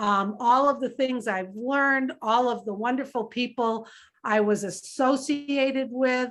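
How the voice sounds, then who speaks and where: In an American accent, a woman speaks fairly slowly in a high voice. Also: quiet background. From US. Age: 60s. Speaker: business leader. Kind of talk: interview.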